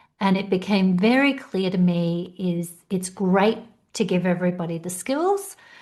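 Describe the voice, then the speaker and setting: With an Australian accent, a woman talks at medium pitch. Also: ordinary pitch variation, moderate pace. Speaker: career coach. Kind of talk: podcast interview.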